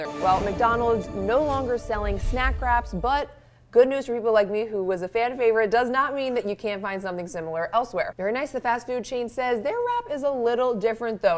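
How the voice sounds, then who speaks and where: With an American accent, a woman speaks at a fairly quick pace and a fairly high pitch, using lively intonation over noticeable background noise. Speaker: local news reporter and anchor. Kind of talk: TV news package narration.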